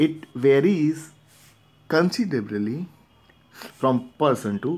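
Fairly high male voice with a Gujarati accent, very slow pace, long, frequent pauses. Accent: Indian English (Gujarati). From India (Gujarat, Ahmedabad). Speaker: teacher. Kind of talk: lecture. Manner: repetitive filler okay.

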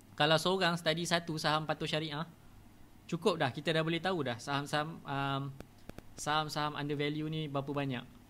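Pausing long and often, a man speaks at a moderate pace with fairly even intonation, his voice fairly high in pitch and bright and sharp in tone, over light background noise. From Malaysia. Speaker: stock trading educator; stock trading teacher. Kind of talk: live-streamed tutorial. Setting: live stream with sensitive mic, team adjusting sound. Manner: casual, repetitive with many fillers. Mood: relaxed, friendly.

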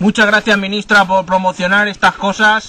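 A man speaks in a raised, projected voice. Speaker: comic sketch performer. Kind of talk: joking monologue to camera. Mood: sarcastic, cheerful. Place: garden. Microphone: phone near.

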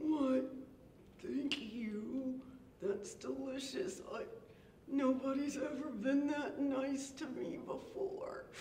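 Slight echo surrounds a cartoonish character voice that goes at a very slow pace with long, frequent pauses. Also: woman, high pitch for a woman. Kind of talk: children's puppet show. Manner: gruff, blustering.

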